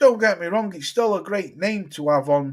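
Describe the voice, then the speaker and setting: A man with a British accent and very wide pitch swings. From England. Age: 40s. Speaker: boxing YouTuber. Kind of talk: casual livestream chat. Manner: animated.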